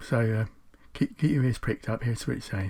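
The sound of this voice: A man speaks at a moderate pace in a fairly low voice, his slightly mellow tone carrying a slightly husky edge and ordinary pitch variation.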